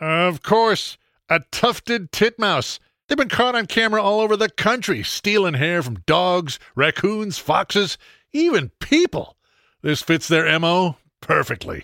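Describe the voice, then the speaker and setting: A man's raised, projected voice, high-pitched with a bright, sharp tone and lively intonation, at a fairly slow pace, in a very clean recording with a silent background and a dry, close sound with no echo. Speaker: noir private eye narrator. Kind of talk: noir parody narration, scripted radio spot. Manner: dry, wry, punny.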